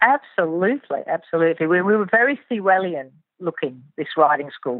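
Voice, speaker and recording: Talking at a fairly quick pace, a woman has a slight English accent. Her fairly low pitch moves in very wide swings. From southern England. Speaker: riding instructor. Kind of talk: interview.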